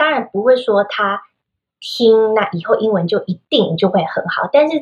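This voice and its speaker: Somewhat breathy, a woman with a fairly high pitch speaks at a moderate pace. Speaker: children's English teacher and podcaster. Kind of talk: interview.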